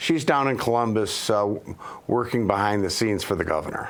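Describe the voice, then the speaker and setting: His voice rings with audible room echo. The man's pitch moves in an ordinary way. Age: 60s. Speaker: local election candidate. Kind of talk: interview. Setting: studio. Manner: halting, many fillers.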